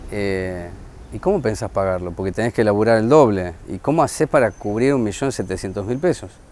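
This man has an unremarkable speaking voice, fairly low in pitch, with lively intonation at a moderate pace. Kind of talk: interview.

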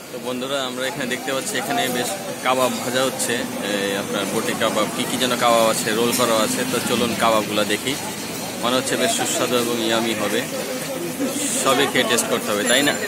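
A man speaks in a dry sound with no echo, over loud background noise. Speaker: street food vlogger. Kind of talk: casual vlog chat. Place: street. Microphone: phone near.

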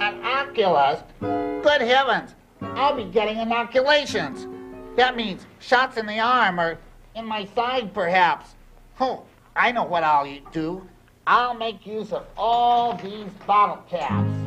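Cartoonish character voice, fairly high in pitch and fairly slow, over faint music in the background. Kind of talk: children's TV puppet rhyming patter. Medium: puppet show. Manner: playful, cheeky, sing-song rhymes.

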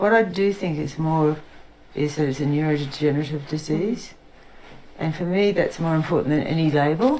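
A woman with an Australian accent speaks in a very deep, low voice at a moderate pace. Her pitch varies in an ordinary way, and audible room echo surrounds her. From Queensland, Australia. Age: 60s. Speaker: witness with Parkinson's disease. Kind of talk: testimony. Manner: halting.

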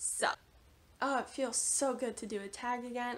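There is noticeable background noise as a woman with a high pitch speaks at a moderate pace. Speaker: book vlogger. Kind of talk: casual vlog talk to camera.

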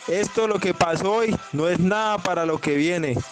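With music in the background, a man speaks at a high pitch. His pitch varies in an ordinary way. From Colombia. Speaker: claimed paramilitary commander. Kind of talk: threatening voice message. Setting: phone voice note. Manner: aggressive, profane. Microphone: phone near.

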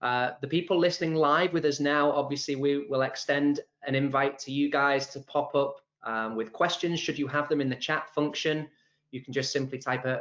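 The background is quiet. A man's fairly quick pace comes with fairly even intonation. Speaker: webinar host. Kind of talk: host introduction. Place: office. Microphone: video call.

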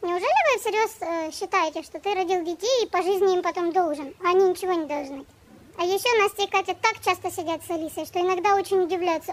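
A woman with an extremely high pitch talks at a very fast pace with ordinary pitch variation. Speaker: vlogger. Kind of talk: casual vlog chat. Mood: complaining, earnest. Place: garden. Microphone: phone near.

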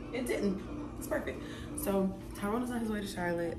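The speech runs at a fairly quick pace with clear music in the background. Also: woman. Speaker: vlogger. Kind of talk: casual vlog chat. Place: kitchen. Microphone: phone near.

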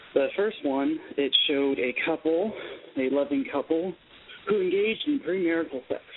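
A high-pitched man at a moderate pace, lively intonation, noticeable background noise. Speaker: caller. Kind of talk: casual chat. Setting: phone call.

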